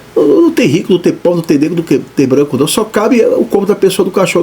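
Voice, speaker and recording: Noticeable background noise runs under the recording. A man talks in a high voice. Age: 60s. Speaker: pastor. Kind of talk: sermon. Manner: animated; halting.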